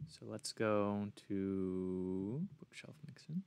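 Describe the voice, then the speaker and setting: Here a man talks at a fairly low pitch with ordinary pitch variation. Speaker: YouTube modding tutorial creator. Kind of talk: tutorial. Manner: stutters at times; casual with fillers.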